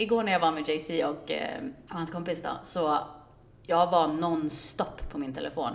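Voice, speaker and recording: A woman's fairly low voice at a moderate pace, with ordinary pitch variation and audible room echo. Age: 30s. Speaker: podcast co-host. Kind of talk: casual chat.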